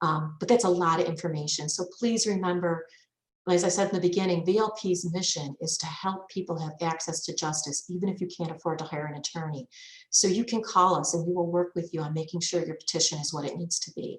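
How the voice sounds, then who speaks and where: This woman talks very fast in a fairly low pitch. Her voice is somewhat breathy and her intonation fairly even. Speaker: lawyer giving legal clinic. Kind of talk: virtual legal clinic presentation. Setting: video call.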